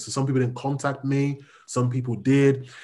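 A man's medium-pitched, somewhat breathy voice. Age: 30s. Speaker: pastor and social worker. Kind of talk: interview. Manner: calm, laid back.

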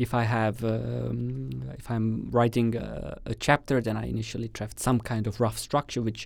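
A man with an Estonian accent talks at a fairly slow pace. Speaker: doctoral candidate. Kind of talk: casual interview.

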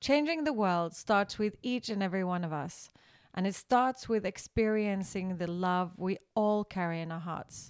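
A woman talks in a normal speaking voice at a moderate pace and medium pitch. Her pitch variation is ordinary, and the recording is very clean with a silent background. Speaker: podcast host. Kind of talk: casual chat.

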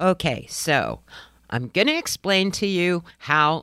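A woman's animated tone in a very clean recording with a silent background and a dry, close sound with no echo. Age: 50s. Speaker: alternative hair specialist, podcast host. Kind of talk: casual solo podcast talk and tips.

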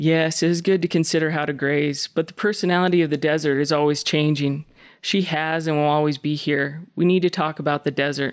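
A woman with an American accent speaks at a fairly quick pace in a very deep, low voice, her loudness very even and her intonation flat and monotone, on a very clean recording with a silent background. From US West ranch country. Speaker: poet. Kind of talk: poem reading, thoughtful and measured.

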